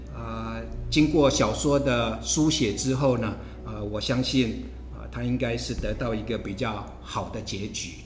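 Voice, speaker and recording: A man speaks at a fairly slow pace. Music plays behind him, and the room echo is audible. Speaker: professor and podcast host. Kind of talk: interview conversation. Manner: halting, many filler sounds.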